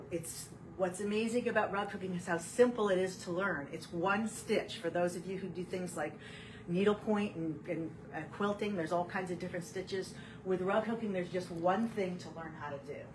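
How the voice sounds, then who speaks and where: A woman with a medium-pitched voice talks at a fairly quick pace and with fairly even intonation, with audible room echo and noticeable background noise. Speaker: rug hooking teacher. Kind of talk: tutorial. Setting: home studio, live video stream. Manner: fast.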